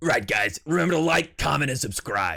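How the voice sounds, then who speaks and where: A man puts on a raspy character voice with a fairly high pitch. He speaks at a moderate pace. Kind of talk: YouTuber sign-off. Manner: over-the-top, gusto, cheerful.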